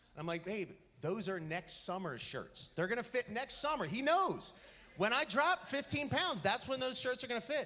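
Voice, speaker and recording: A man's extremely high, raised and projected voice, bright and sharp in tone and animated, with very wide pitch swings at a moderate pace. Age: 30s. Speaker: stand-up comedian. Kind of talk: stand-up. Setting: stage with audience.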